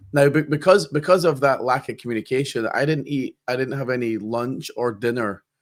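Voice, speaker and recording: This man talks at a fairly quick pace with a Scottish accent, a medium pitch and ordinary pitch variation. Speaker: podcast host. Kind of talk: podcast interview. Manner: halting.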